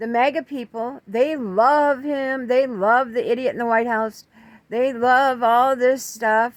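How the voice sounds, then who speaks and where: A woman's high-pitched voice with an American accent, at a fairly slow pace, on a very clean recording against a silent background. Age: 70s. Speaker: political commentator. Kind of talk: political monologue. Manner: halting.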